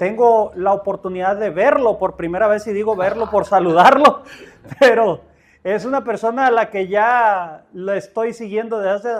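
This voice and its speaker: The man talks at a moderate pace. His pitch is high. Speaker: podcast host. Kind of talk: podcast intro.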